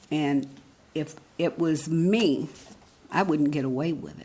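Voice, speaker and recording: Her voice is very deep and low, with ordinary pitch variation. The woman speaks at a very slow pace amid audible room echo. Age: 80s+. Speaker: resident speaking at public comment. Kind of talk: public comment at council meeting. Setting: city council meeting.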